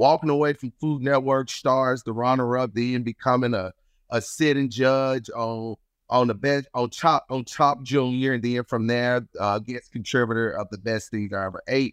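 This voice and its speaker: Recorded dry and close with no echo against a quiet background, a man speaks at medium pitch and a moderate pace with fairly even intonation. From Chicago and Mississippi. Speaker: chef and TV host. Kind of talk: casual interview, trivia game.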